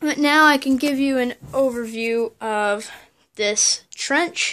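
Here a woman speaks in a high voice. The background is quiet. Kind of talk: casual show-and-tell narration. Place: home room. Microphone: phone near.

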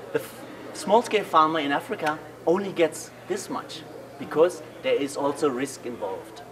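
Noticeable background noise sits under the recording. A man speaks with ordinary pitch variation. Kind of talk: interview explanation. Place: cafe. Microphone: camera far.

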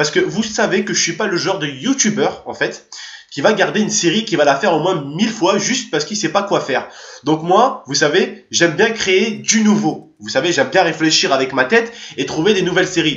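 Over audible room echo, a man speaks at high pitch and a fairly quick pace in an animated tone. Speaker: YouTuber; gaming youtuber. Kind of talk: casual vlog to subscribers. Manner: fast. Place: home room.

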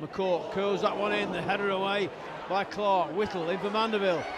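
A man's warm tone at a moderate pace, over noticeable background noise. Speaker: match commentator. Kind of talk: live football commentary. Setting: stadium press box at the match. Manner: conversational, warm asides between bursts of action.

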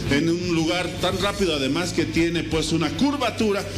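Music playing behind a man's speech. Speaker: field reporter. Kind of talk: live news report. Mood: somber, serious. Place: street. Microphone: handheld.

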